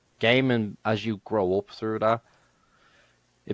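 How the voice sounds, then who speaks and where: Speaking at a fairly slow pace in a Dublin accent, a man with a fairly low pitch comes through dry and close with no echo on a very clean recording with a silent background. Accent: Dublin Irish. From Ireland, Dublin. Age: 30s. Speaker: gamer and streamer. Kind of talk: podcast interview. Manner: halting, many fillers.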